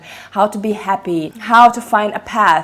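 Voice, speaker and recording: This woman has a non-native accent. She talks at a moderate pace. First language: not English. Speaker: book reviewer. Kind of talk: casual book review monologue. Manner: animated.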